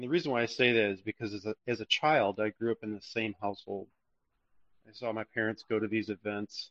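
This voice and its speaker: This man has an ordinary speaking voice, medium in pitch, moving at a fairly quick pace with fairly even intonation. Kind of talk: religious discussion.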